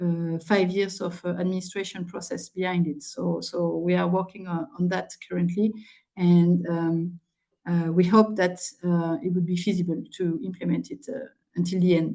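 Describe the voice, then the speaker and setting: A woman speaks in a French accent at a moderate pace. Her pitch is fairly low and her intonation fairly even. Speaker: public participation official. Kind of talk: presentation and Q&A answer. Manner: halting, many fillers and repeats.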